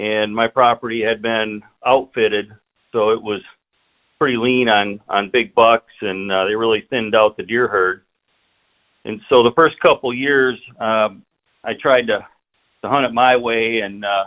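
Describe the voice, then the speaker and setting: A man at medium pitch, fairly even in intonation and fairly slow, with long, frequent pauses. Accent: American. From Michigan. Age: 60s. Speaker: caller, deer hunter and landowner. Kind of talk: recorded call-in message. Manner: halting, many fillers.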